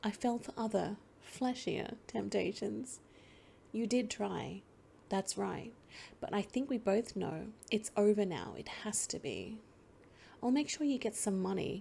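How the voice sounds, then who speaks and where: Soft-spoken and fairly slow, a woman with a medium pitch and a dark, mellow tone talks with vocal fry and ordinary pitch variation, leaving long, frequent pauses. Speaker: let's play gamer. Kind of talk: comic book reading.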